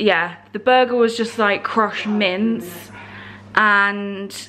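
The intonation stays fairly even as a woman talks. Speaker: travel vlogger. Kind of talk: casual vlog chat. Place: home room. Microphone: phone near.

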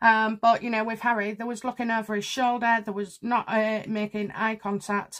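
A woman is speaking at a moderate pace. The background is quiet. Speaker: tarot reader. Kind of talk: casual commentary. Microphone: phone near.

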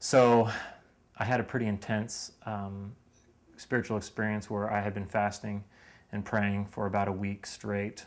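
With an American accent, a man speaks in a fairly low pitch and a monotone, flat intonation. Long, frequent pauses break up his speech. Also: moderate pace. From Lancaster, Pennsylvania, US; Pennsylvania. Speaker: university student; interviewee. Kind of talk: interview; interview answer. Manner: halting, with frequent repetitions and fillers. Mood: reflective, earnest. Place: home room. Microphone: headset.

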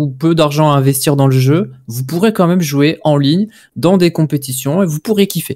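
A man with an unremarkable speaking voice talks at a fairly slow pace, his fairly high pitch showing ordinary variation against a quiet background. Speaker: football video game commentator. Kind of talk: casual live-stream debate. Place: home room. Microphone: studio mic.

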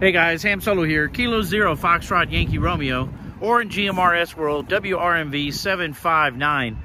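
Over noticeable background noise, a man with an American accent speaks fairly slowly at a high pitch with ordinary pitch variation, the sound dry with no echo. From Texas, San Antonio. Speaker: ham radio hobbyist YouTuber. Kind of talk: casual vlog and two-way radio field test. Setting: driving in a car; outdoors at an overlook. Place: open country. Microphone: phone near.

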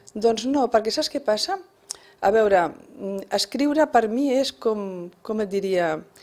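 A woman speaks with a Spanish accent at a very slow pace. Her intonation is lively, with long, frequent pauses. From Barcelona (Sant Andreu), Catalonia; Catalonia, Spain. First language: Spanish (speaking Catalan). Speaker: first-time novelist, retired bank worker; interviewee. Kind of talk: radio interview. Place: studio. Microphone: studio mic.

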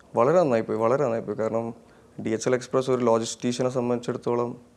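This man's voice sits at a medium pitch, and his intonation is monotone and flat. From Kerala, Kannur (Malabar). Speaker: entrepreneur. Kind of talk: interview.

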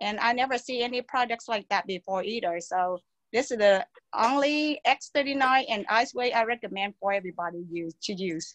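A woman speaks at a moderate pace with a fairly high pitch, a fairly bright tone and ordinary pitch variation, in a dry, close sound with no echo.

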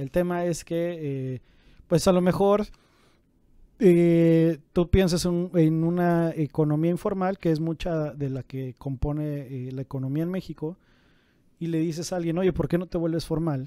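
The recording is dry with no echo and a quiet background. A man speaks in a high pitch with a dark, mellow tone. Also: fairly even intonation, fairly slow pace. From Mexico. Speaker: business podcast co-host. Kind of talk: casual explanatory chat. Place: office. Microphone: studio mic.

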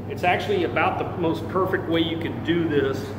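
Amid noticeable background noise, a man talks at a moderate pace with ordinary pitch variation. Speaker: self-defense trainer. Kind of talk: tutorial. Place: bar. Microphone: phone near.

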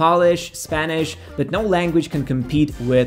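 Faint music plays in the background. A man speaks at a fairly slow pace with ordinary pitch variation. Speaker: channel host. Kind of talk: explainer talk to camera. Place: studio.

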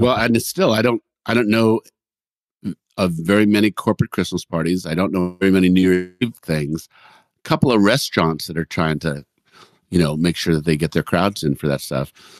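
A man with a very deep, low voice talks at a fairly quick pace with ordinary pitch variation, in dry, close sound with no echo. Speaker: podcast co-host, musician. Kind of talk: casual chat.

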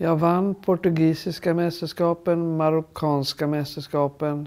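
With a dark, mellow tone, a woman speaks at a fairly slow pace in a very deep, low pitch. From Sweden. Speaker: retired champion golfer. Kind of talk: interview. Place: home room.

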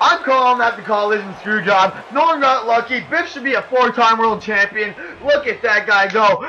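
Speaking in a raised, projected voice at an extremely high pitch, a man talks at a moderate pace with ordinary pitch variation over noticeable background noise. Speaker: wrestling commentator. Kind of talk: wrestling show commentary. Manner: casual, joking.

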